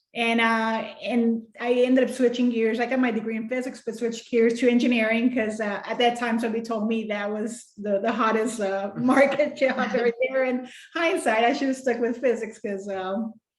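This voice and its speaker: With a Spanish accent, a woman speaks at a moderate pace in a fairly high pitch, her intonation fairly even. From Mexico. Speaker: children's book author. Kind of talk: interview.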